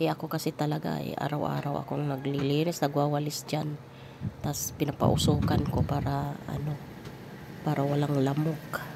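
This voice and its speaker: A woman's very deep, low voice at a moderate pace, in a monotone, flat intonation. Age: 50s. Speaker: vlogger and grandmother. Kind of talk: casual vlog talk.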